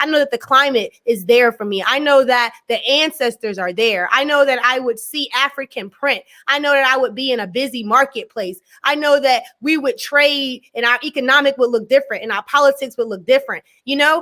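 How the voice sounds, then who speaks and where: In an American accent, the speaker uses a raised, projected voice with a bright, sharp tone. Pitch varies in an ordinary way, and there are hardly any pauses. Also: woman, high pitch for a woman. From USA. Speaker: education scholar. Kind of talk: interview discussion.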